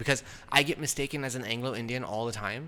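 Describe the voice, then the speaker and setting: This man talks in an animated way, his tone bright and sharp. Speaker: podcast co-host. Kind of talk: casual chat.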